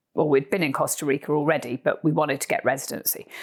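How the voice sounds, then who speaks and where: A woman speaks fairly quickly with a Cornish accent. The recording is very clean, with a silent background. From Cornwall, southwest England. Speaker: horse trekker and author. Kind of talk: casual interview chat. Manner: animated.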